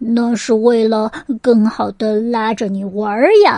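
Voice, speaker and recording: Using a put-on character voice, a woman speaks fairly slowly at a fairly high pitch. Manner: sweet, feigned, deceptive.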